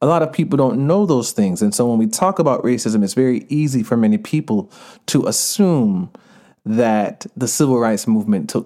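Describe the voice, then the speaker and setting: With an American accent and a dark, mellow tone, a man talks at a moderate pace and medium pitch, his loudness very even while his pitch swings very widely. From Georgia, US, Jamaican family. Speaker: author and activist. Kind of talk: casual interview.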